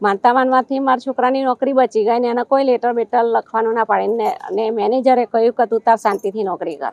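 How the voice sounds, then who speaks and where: A woman's normal speaking voice with ordinary pitch variation. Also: fairly high pitch for a woman. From Gujarat, Vadodara. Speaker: devotee. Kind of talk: testimony.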